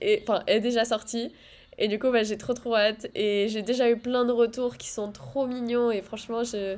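The woman's voice is fairly high and monotone, with flat intonation. Her pace is moderate. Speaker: podcast co-host, student. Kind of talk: casual chat.

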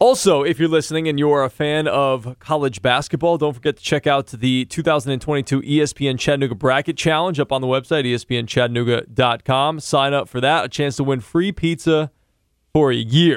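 A man with a normal speaking voice, fairly high in pitch, with ordinary pitch variation and a fairly quick pace. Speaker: podcast host. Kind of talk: casual sports chat.

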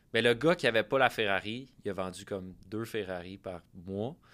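In a very clean recording with a silent background, a man speaks at a fairly quick pace in a plain, everyday voice with ordinary pitch variation. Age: 20s. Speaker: podcast host. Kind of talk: casual interview.

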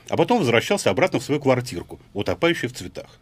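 With very wide pitch swings, a man speaks at a fairly quick pace in a somewhat breathy voice. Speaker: writer. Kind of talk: reading aloud. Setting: studio.

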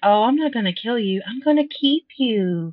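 Putting on a character voice, a woman speaks at a fairly high pitch and a moderate pace. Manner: creepy, sinister.

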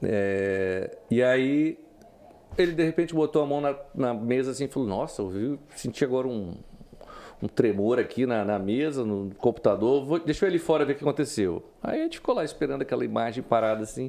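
A dark, mellow tone with lively intonation at a fairly quick pace. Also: man, medium pitch for a man. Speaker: journalist. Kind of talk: interview. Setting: studio.

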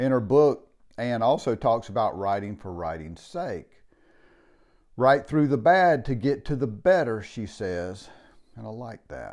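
In a very clean recording with a silent background, a man uses a normal speaking voice at a fairly slow pace, with lively intonation and big swings in loudness. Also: medium pitch for a man. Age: 60s. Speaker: podcast host. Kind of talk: casual monologue.

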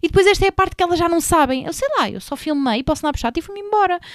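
In a very clean recording with a silent background, a woman with a Lisbon accent sounds animated, her intonation lively. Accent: European Portuguese, Lisbon. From Portugal, Sintra line (Lisbon area). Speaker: podcast host. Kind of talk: casual chat.

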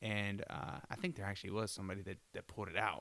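A man talks at a very fast pace in a fairly low pitch, his tone bright and sharp. His intonation stays fairly even. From Florida. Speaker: podcast guest, friend of host. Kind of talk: casual chat. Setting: at host's rural home in Michigan.

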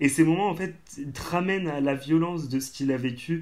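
A normal speaking voice proceeds at a moderate speed. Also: man. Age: 20s. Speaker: theatre company member, student. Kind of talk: casual chat.

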